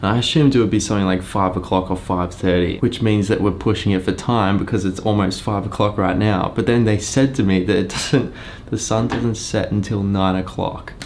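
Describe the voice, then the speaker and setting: A man with an Australian accent and a fairly low pitch, fairly quick and with hardly any pauses, very even in loudness, with audible room echo and noticeable background noise. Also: fairly even intonation. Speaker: travel vlogger and photographer. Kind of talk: vlog narration.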